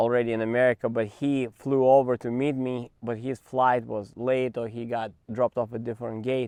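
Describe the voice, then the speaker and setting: In a quiet background, a man with a Russian accent speaks at a moderate pace and medium pitch, his intonation monotone and flat. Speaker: tennis coach. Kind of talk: interview storytelling.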